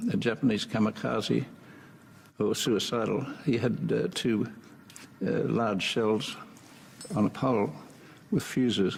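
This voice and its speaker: Noticeable background noise sits behind a man with a fairly low pitch. He talks at a fairly slow pace with ordinary pitch variation. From Australia. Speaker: war veteran. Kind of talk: interview answer. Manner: hesitant.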